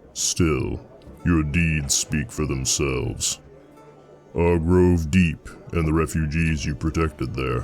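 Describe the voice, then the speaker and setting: A man speaks in a put-on character voice, very deep and low, at a fairly slow pace. He leaves long, frequent pauses while clear music plays in the background. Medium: read story. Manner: plain-spoken, steady.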